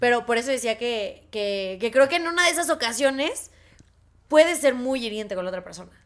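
Speaking with a Mexican accent, a woman uses a high pitch and lively intonation. Her pace is fairly quick. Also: big swings in loudness. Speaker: podcast co-host. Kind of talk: casual chat. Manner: fast.

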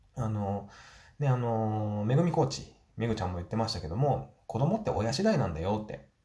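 Amid audible room echo, a man speaks fairly quickly in a fairly low, somewhat breathy voice with a dark, mellow tone and very wide pitch swings. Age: 40s. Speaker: business owner and podcaster. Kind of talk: solo podcast monologue.

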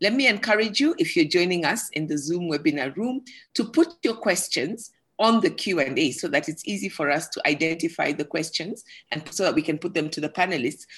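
A woman has a normal speaking voice. Her pitch sits fairly low, with lively intonation. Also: fairly quick pace. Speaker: forum moderator. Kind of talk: moderated panel discussion. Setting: online video call.

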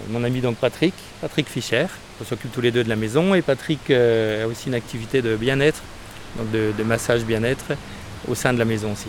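A man's medium-pitched voice at a moderate pace, with noticeable background noise. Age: 40s. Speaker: guesthouse owner. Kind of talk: interview. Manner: hesitant, with repetitions.

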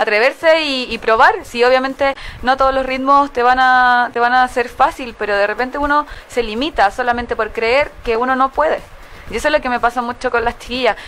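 Over noticeable background noise, a woman talks at a fairly quick pace in a high pitch with fairly even intonation. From Santiago, Chile. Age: 20s. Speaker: dance studio founder. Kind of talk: interview.

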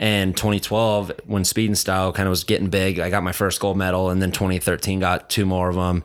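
On a very clean recording with a silent background, a man with an American accent uses a normal speaking voice at a fairly low pitch and a fairly quick pace. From Carson City, Nevada. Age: 30s. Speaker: retired motocross rider. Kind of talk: casual chat.

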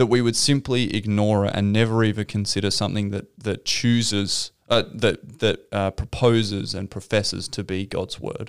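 At a moderate pace with hardly any pauses, a man with an Australian accent talks in a fairly low pitch with fairly even intonation. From South Australia. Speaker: pastor. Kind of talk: podcast interview.

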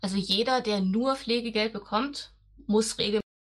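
This woman has a plain, everyday voice, fairly high in pitch, with ordinary pitch variation and a moderate pace. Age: 40s. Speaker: nurse. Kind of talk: casual interview.

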